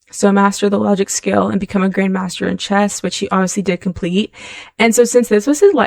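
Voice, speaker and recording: A woman puts on a raspy character voice at a medium pitch. She talks fairly quickly with ordinary pitch variation. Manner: talking very fast.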